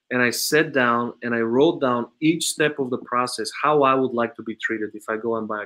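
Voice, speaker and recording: A man with an Eastern European accent speaks at a medium pitch, using fairly even intonation and a bright, sharp tone with hardly any pauses. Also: moderate pace, big swings in loudness. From Bulgaria. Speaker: automotive sales trainer and consultant. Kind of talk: interview conversation.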